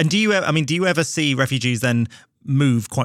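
A man speaks in a plain, everyday voice at a fairly quick pace on a very clean recording with a silent background. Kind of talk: interview, conversational discussion.

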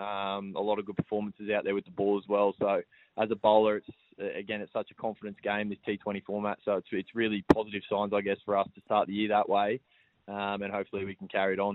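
Speaking in an Australian accent, a man talks at a very fast pace with a fairly low pitch. His intonation is monotone and flat, while his loudness swings widely. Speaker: professional cricketer. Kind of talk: radio interview.

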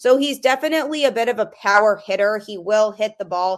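A woman has an unremarkable speaking voice at a medium pitch with ordinary pitch variation. The background is quiet. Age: adult. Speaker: sports podcast host. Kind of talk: solo sports podcast commentary.

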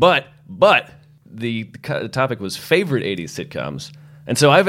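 A man with an American accent speaks at a moderate pace in a medium pitch, with vocal fry and very wide pitch swings. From Massachusetts. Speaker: podcast guest. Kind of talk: casual chat.

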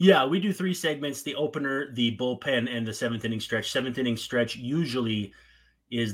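This man has a slight Minnesotan accent and a medium pitch. He talks at a moderate pace with ordinary pitch variation. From northern Minnesota. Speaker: podcast host. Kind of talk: podcast interview, casual chat.

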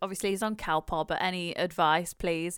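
On a very clean recording, silent background, a woman speaks in an ordinary speaking voice at medium pitch with fairly even intonation. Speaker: podcast co-host and new mum. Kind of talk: casual chat.

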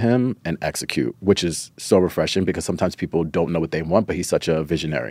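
A man speaks very fast at a very deep, low pitch. Vocal fry runs through his voice. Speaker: stylist. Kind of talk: casual interview chat.

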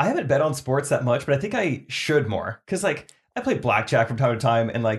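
This man talks at a fairly quick pace in a fairly high, somewhat breathy voice with lively intonation. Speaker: podcast co-host. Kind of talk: casual chat. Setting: studio. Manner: mumbling.

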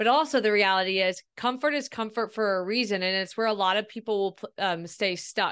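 Someone with an American accent talks at a fairly quick pace with hardly any pauses. It is a normal speaking voice with ordinary pitch variation. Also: woman, medium pitch for a woman. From Ohio. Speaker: speaker and podcaster. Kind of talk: interview conversation.

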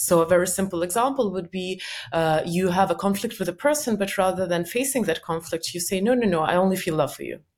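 Very fast and lively in intonation, a woman speaks with an Eastern European accent. Her pitch sits in the medium range. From former Soviet Union. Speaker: company cofounder and self-help author. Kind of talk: podcast interview. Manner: laughs often.

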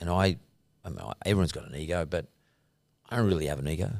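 Ordinary pitch variation marks this man's speech in an Australian accent. The recording is very clean, with a silent background. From Sydney, Australia (Punchbowl). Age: 60s. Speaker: entrepreneur. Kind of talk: interview. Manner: hesitant with fillers.

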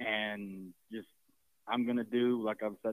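A man speaks at a very slow pace in a medium pitch, his intonation flat and monotone. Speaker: caller. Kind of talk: phone-in question. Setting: phone call. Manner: halting.

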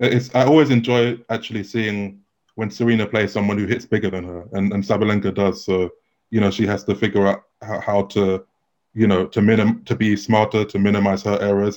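A man with a London accent speaks at a fairly quick pace in a fairly low pitch, his intonation flat and monotone. The recording is very clean, with a silent background. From London, England. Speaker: tennis journalist. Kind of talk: interview.

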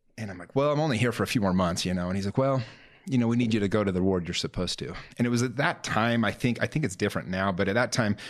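A man's fairly low voice at a very fast pace, with ordinary pitch variation and a quiet background. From Utah, Salt Lake area. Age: 30s. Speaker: real estate entrepreneur and life coach. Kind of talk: podcast interview, personal story.

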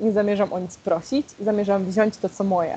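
Dark, mellow female speech with ordinary pitch variation. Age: 20s. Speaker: LGBTQ+ activist, equality march organizer. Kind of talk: interview.

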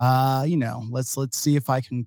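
With a normal speaking voice and an American accent, a man talks at a moderate pace with a medium pitch and fairly even intonation, recorded dry and close with no echo. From Dallas-Fort Worth, Texas. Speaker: podcast co-host. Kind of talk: casual chat.

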